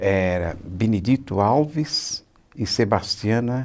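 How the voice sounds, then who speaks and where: A man speaks at a fairly low pitch with ordinary pitch variation. His pace is very slow. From interior of São Paulo state, Brazil. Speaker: retired teacher. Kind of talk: oral history interview. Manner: halting.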